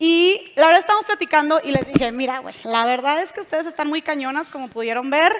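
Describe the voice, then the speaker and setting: Over noticeable background noise, a woman with a high pitch talks at a fairly quick pace with hardly any pauses, her intonation lively and her loudness swinging widely. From northern Mexico, Monterrey. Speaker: panel moderator and podcast host. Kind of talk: panel moderation at a live event. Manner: casual, animated.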